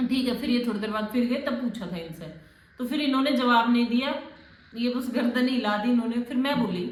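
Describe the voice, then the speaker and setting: Over noticeable background noise and audible room echo, a woman speaks in a high pitch. She keeps a moderate pace with ordinary pitch variation. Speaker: vlogger. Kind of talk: casual chat. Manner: animated.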